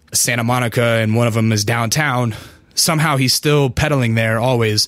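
A man's unremarkable speaking voice, medium in pitch, fairly quick and fairly even in intonation. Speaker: podcast host and rapper. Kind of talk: casual chat. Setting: studio. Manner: casual, profane.

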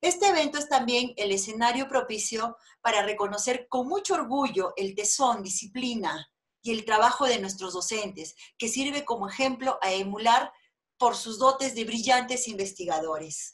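A fairly high-pitched woman's voice at a moderate pace, with lively intonation and a quiet background. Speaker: university official. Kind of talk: formal welcome speech. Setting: video call. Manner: formal. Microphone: video call.

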